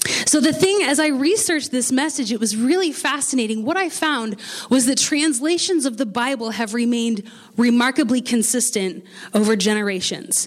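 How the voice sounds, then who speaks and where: With an American accent, a woman speaks at a moderate pace in a high pitch, her intonation lively. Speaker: pastor. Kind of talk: sermon. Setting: church.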